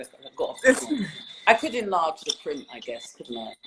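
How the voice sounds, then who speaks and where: A woman speaks with a London accent at a moderate pace. Her loudness swings widely. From London, England. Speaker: poet. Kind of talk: interview answer.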